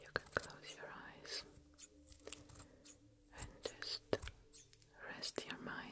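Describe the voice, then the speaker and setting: A woman is whispering. She is soft-spoken. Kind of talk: soft-spoken ASMR role-play. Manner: soft soothing ASMR near-whisper. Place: home room.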